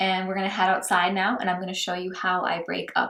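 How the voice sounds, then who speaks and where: Bright and sharp in tone, a woman with an American accent speaks at a medium pitch. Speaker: lifestyle and cocktail blogger. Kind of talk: tutorial. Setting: outdoors, then back indoors.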